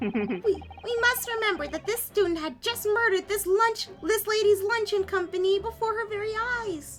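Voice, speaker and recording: Using a put-on character voice at an extremely high pitch, a woman speaks at a moderate pace with ordinary pitch variation over clear background noise. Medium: game stream. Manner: pompous, condescending.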